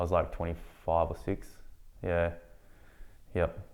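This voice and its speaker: A man with an Australian accent, his pitch very deep and low, at a fairly quick pace in a monotone, flat intonation. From Australia, country Victoria. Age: 30s. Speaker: filmmaker. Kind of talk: interview. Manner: halting.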